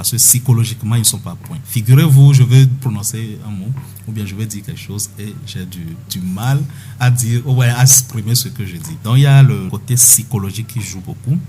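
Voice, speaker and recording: Music plays in the background as a man talks. He keeps a moderate pace, with big swings in loudness. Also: medium pitch for a man, ordinary pitch variation. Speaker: doctor guest speaking on health topic (stuttering). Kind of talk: radio interview answer, explanatory.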